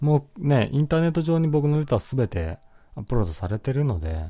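A man's dark, mellow, somewhat breathy voice at a fairly quick pace, full of very wide pitch swings, against a quiet background. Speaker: podcast host reading listener comments. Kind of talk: casual solo talk. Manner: frequent laughter, relaxed.

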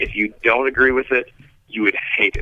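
Medium pitch from a man, delivered in a monotone, flat intonation. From Kentucky. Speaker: park service plant expert. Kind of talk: interview. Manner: halting, repeats words.

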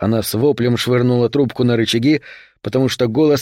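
What we hear is an unforced reading voice.

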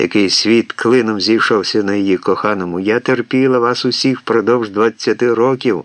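The voice heard here is a natural reading voice.

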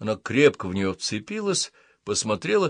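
What comes through is a natural reading voice.

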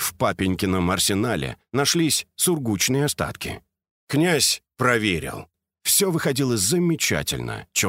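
A quiet background behind plain reading aloud.

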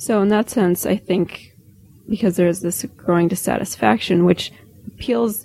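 A woman speaks with a Midwestern American accent in a dark, mellow tone and vocal fry, at medium pitch. Her intonation is lively, her pace moderate and her loudness very even. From rural Indiana, US Midwest. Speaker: political theory academic. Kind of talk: interview.

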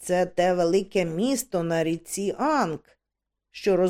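An unforced reading voice set against a quiet background.

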